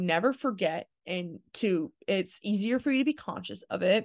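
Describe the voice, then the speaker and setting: A woman speaks with lively intonation. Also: quiet background. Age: 20s. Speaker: podcast host and personality type content creator. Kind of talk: solo monologue. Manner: hesitant, many filler words.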